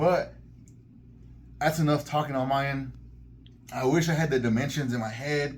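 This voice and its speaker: Audible room echo carries a man's very fast speech. He sounds somewhat breathy. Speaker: collectibles YouTuber. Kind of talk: product review. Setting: in a collectibles store. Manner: animated.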